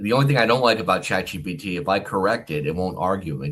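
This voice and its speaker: With an American accent, a man talks at a very fast pace. His very deep, low voice has lively intonation. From US, Philadelphia area and Texas. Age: 50s. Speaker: author, retired army officer. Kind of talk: interview. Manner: halting, repeats words.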